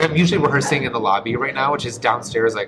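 A man talks at a medium pitch with ordinary pitch variation. Music can be heard in the background. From US Midwest, Detroit. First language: Polish. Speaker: stage performer and dancer. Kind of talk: casual interview.

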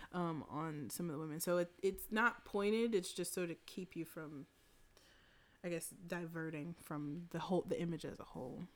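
A woman's unremarkable speaking voice, fairly low in pitch, at a moderate pace with ordinary pitch variation. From US South. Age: 30s. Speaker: photographer. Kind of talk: casual chat.

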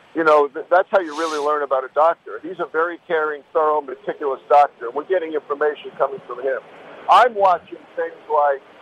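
With a dry, close sound and no echo, a man speaks in a fairly high pitch with fairly even intonation over noticeable background noise. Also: fairly quick pace. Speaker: doctor, medical commentator. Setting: phone call.

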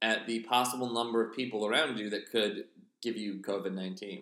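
This man speaks with an American accent at a medium pitch, with ordinary pitch variation. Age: 30s. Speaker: podcast host. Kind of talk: casual comedic chat. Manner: rambling, hesitant.

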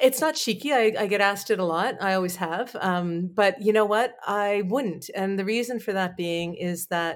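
A woman with a plain, everyday voice and a Canadian accent speaks at a fairly slow pace and medium pitch, with ordinary pitch variation, in a very clean recording with a silent background. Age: 40s. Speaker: PR firm owner and talk show host. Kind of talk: interview.

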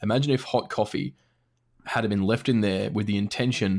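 In a very clean recording with a silent background, a man talks fairly quickly with an Australian accent. His medium-pitched voice carries vocal fry and ordinary pitch variation. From Australia, Brisbane. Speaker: gaming podcaster. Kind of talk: casual chat.

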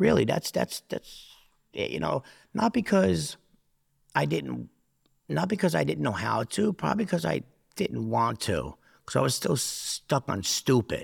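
A man with a New Jersey accent speaks at a fairly slow pace, with long, frequent pauses. The recording is very clean, dry and close with no echo, against a silent background. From New Jersey (Newark area). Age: 40s. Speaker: former prisoner. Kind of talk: casual chat. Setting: studio.

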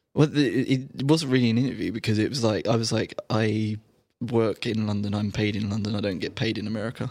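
Speaking with a British accent, a man talks at a very fast pace. His intonation is fairly even. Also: medium pitch for a man. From United Kingdom. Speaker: tech journalist. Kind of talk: casual chat. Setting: studio.

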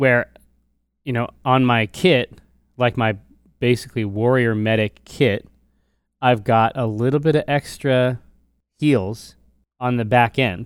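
On a very clean recording with a silent background, the speaker uses an animated tone at a fairly slow pace with long, frequent pauses. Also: man, medium pitch for a man. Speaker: podcast co-host and gamer. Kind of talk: casual banter about gaming. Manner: animated, jokey.

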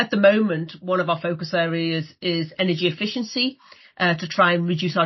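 A woman has an unremarkable speaking voice at a fairly low pitch. She moves at a moderate pace with ordinary pitch variation. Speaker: cruise company representative. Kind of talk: interview.

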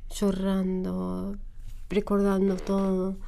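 A woman with an Arabic accent, dark and mellow in tone, at a very slow pace, with monotone, flat intonation and audible room echo. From Syria, Homs. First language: Arabic (speaking Spanish). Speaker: refugee. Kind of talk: interview. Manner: halting.

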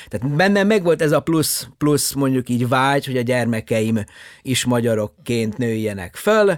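With lively intonation, a man talks at a moderate pace in a normal speaking voice. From Yugoslavia (Subotica, Vojvodina Hungarian). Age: 50s. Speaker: astronomer. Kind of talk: interview.

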